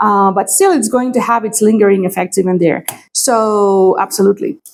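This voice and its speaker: A woman of medium pitch speaks at a moderate pace with ordinary pitch variation and very even loudness. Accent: Greek. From Greece. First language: Greek. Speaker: astrologer and tarot reader. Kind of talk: astrology forecast talk to camera. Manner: hesitant, many fillers.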